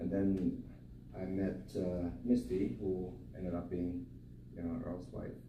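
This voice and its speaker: Audible room echo surrounds a man's very deep, low voice as he speaks at a fairly slow pace. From Germany. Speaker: eulogy speaker, friend of the deceased. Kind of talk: eulogy. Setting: memorial service.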